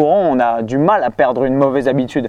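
At a moderate pace, a man talks in an ordinary speaking voice pitched fairly high. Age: 30s. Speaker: fitness coach and youtuber. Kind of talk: casual chat.

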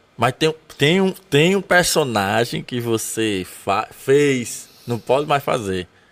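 Very wide pitch swings in a man's fairly high voice. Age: 30s. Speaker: podcast host. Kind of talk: casual interview chat. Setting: studio.

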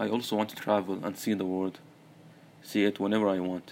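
In an Arabic accent, a man speaks very fast at a fairly low pitch with monotone, flat intonation. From Saudi Arabia. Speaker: podcast host, university student. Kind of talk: solo monologue, personal story. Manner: halting, many repetitions and fillers.

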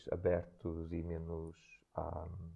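Very deep and low in pitch, a man speaks at a very slow pace. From northern Portugal, Santo Tirso. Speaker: dancer and choreographer. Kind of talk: interview. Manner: halting.

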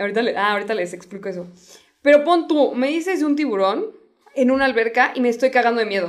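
A woman's high-pitched voice with a Mexican accent, very fast pace and lively intonation. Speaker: podcast co-host. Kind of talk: casual chat.

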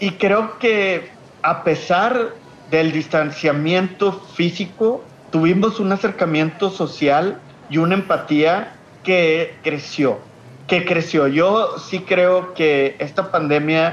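A man's high-pitched voice in a strong Monterrey accent, very slow and very even in loudness, with ordinary pitch variation over noticeable background noise. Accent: strong northern Mexican (Monterrey). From Mexico, Monterrey, Nuevo León. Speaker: social entrepreneur. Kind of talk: interview. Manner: frequent hesitations and repetitions.

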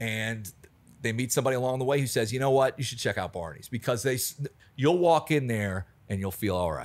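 Using a plain, everyday voice with an American accent, a man talks at a fairly quick pace, medium in pitch, with lively intonation. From US Mid-Atlantic (Alexandria, Virginia, near DC). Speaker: bar manager. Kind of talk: casual chat.

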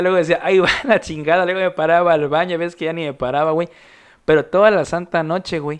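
Very fast speech from a man in a Mexican accent, high in pitch, over a quiet background. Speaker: podcast host. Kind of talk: casual chat.

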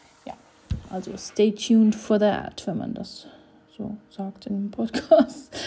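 A woman speaks at a very slow pace with fairly even intonation. Her voice is somewhat breathy, with a dark, mellow tone. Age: 30s. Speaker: podcaster. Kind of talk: casual monologue. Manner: hesitant, many filler sounds.

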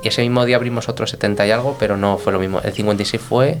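A man talks fairly quickly at medium pitch. There is noticeable background noise. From Spain, Toledo (Guadamur). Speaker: restaurant director and sommelier. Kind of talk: casual interview. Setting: restaurant.

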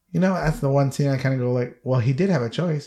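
A man speaks at medium pitch in a dark, mellow tone, somewhat breathy. The recording is very clean, with a silent background. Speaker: podcast host. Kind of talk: casual chat, movie review podcast.

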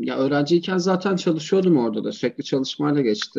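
Very fast in pace, a man speaks with a dark, mellow tone. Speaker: lawyer. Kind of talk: casual interview.

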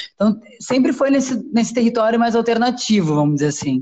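A woman's speech at a fairly quick pace. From southern Brazil, Porto Alegre. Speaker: cultural branding agency co-founder. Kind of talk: casual interview. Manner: halting, many fillers.

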